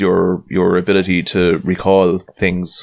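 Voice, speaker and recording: A man with a Tipperary accent and a very deep, low voice. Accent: Tipperary Irish. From Ireland, County Tipperary. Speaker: podcast host. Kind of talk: casual chat.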